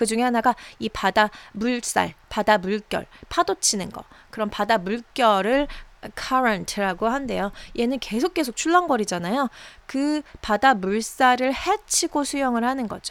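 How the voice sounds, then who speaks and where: On a very clean recording with a silent background, a woman with a normal speaking voice talks at a fairly slow pace, her fairly high pitch carrying lively intonation. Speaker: English teacher. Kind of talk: language lesson. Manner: slow, repetitive drilling.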